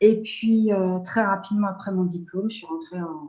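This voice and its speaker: This is a woman speaking. Her pace is fairly slow. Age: 60s. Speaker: nurse and energy healer. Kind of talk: interview. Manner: halting.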